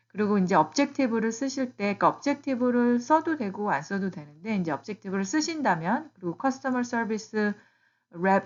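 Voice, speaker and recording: This woman speaks at a fairly high pitch. Her pitch swings very widely. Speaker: YouTuber giving job-search advice to immigrants. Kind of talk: tutorial. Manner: casual, with fillers and self-corrections.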